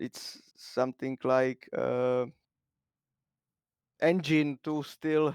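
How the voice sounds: At a very slow pace, a man talks with a clear, smooth, slightly mellow tone and fairly even intonation in a dry, close sound with no echo. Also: medium pitch for a man.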